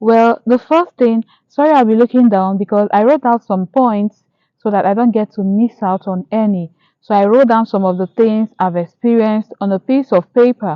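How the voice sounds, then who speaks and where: This woman has a Nigerian accent and a fairly high pitch. She speaks at a moderate pace with ordinary pitch variation. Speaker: YouTuber. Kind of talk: casual vlog monologue. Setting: outdoors in a park.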